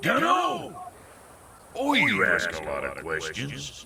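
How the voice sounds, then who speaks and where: Amid audible echo, a man uses a gruff put-on character voice at a fairly slow pace. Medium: video game. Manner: gruff, folksy, ungrammatical.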